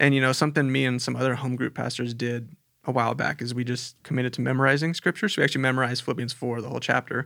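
Speaking very fast with hardly any pauses, a man with an American accent uses a bright, sharp tone, a medium pitch and fairly even intonation. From Southern California. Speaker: youth pastor. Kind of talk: casual chat.

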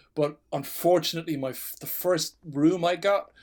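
A man speaks with a slight Irish accent. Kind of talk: casual chat. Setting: remote recording, video call.

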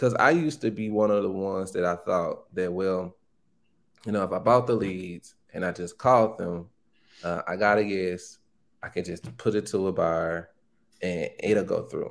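On a very clean recording with a silent background, a man with a Southern US accent talks at a moderate pace, his fairly low pitch varying in an ordinary way. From Arkansas, Pine Bluff (US South). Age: young. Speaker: real estate wholesaler. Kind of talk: casual interview.

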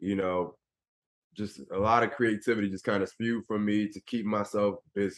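A man with an American accent has a normal speaking voice, at a moderate pace with fairly even intonation. The sound is dry and close, with no echo. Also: fairly low pitch for a man. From Philadelphia, US. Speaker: former pro basketball player and motivational speaker. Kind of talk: interview.

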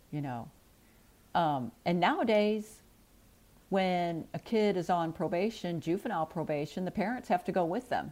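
A woman with an American accent and a plain, everyday voice speaks at a moderate pace, pitched fairly low, with lively intonation. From US Midwest, St. Louis area. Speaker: birth mother. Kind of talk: personal testimony.

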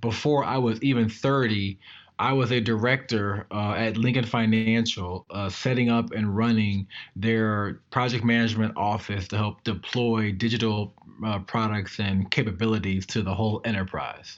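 A man talks at a moderate pace with an American accent and a fairly low pitch. He has a plain, everyday voice, fairly even intonation and a quiet background. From Maryland, US. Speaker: tech entrepreneur. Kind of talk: interview.

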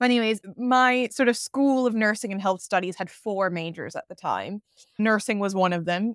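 A woman with an American accent speaks at medium pitch and a moderate pace, a normal speaking voice. The recording is very clean, with a silent background. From US South, Atlanta. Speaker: pharma consultant. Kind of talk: casual interview chat.

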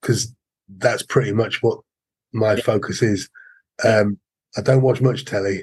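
Monotone, flat intonation with big swings in loudness, a somewhat breathy voice at a moderate pace, long, frequent pauses, and a dry, close sound with no echo. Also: man, medium pitch for a man. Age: 50s. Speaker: martial arts instructor. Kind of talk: casual interview.

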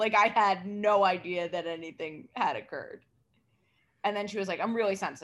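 At a moderate pace and medium pitch, a woman with an American accent speaks in a very clean recording with a silent background. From New York City. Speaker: comedian. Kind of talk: casual chat.

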